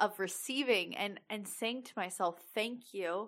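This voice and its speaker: A woman talks at a medium pitch, her tone animated and bright, sharp. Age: 20s. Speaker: leadership coach and podcast host. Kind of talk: solo podcast monologue.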